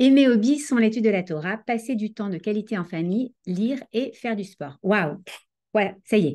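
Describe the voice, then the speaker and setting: A woman talks at a moderate pace in a fairly high pitch, with a dark, mellow tone. Her intonation is lively, her loudness swings widely, and the background is quiet. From France, Paris. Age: 40s. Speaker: Torah teacher and life coach. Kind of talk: online lecture.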